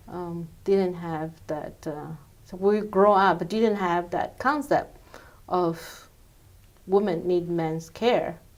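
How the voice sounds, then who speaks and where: Speaking very slowly with a Chinese accent, a woman uses a fairly low pitch, ordinary pitch variation, and big swings in loudness. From China. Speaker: immigrant interviewee. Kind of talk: interview. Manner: halting.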